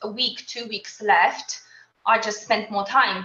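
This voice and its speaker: A woman with a Polish accent, moderate pace and ordinary pitch variation. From Poland. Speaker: qualified accountant and mother. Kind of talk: interview.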